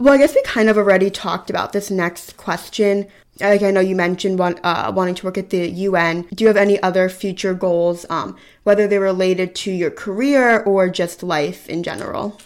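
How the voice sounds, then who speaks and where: A woman with an American accent uses an ordinary speaking voice at a medium pitch with fairly even intonation. The recording is very clean, with a silent background. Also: fairly quick pace. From US Northeast, Philadelphia area. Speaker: student interviewer. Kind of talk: casual interview chat.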